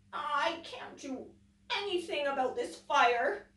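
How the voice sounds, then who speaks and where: In a put-on character voice, high-pitched and croaky, the speaker goes at a fairly slow pace with a slight echo. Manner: helpless, discouraged.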